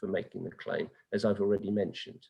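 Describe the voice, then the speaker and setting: Here a man speaks with a British accent. His pace is fairly quick. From England. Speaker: tax advisor. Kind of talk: webinar Q&A.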